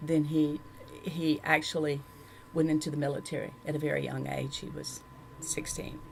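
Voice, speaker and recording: Speaking with a Southern US accent at a moderate pace, a woman has a very deep, low pitch and monotone, flat intonation. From Louisiana, rural. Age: 60s. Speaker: church member giving testimony. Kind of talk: testimony. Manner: halting.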